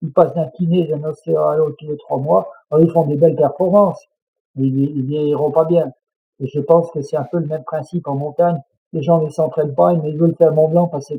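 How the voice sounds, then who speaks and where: This is a man with an unremarkable speaking voice, fairly high in pitch. He moves at a fairly quick pace with fairly even intonation. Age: 60s. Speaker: mountain guide and adventurer. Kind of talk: interview conversation.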